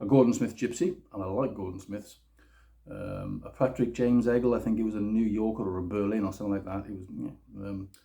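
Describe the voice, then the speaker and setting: A man speaks at a fairly quick pace and fairly low pitch. His tone is dark and mellow. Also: ordinary pitch variation. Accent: British. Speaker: guitar demo youtuber. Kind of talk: casual product review. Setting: home kitchen. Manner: fast. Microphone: phone recording.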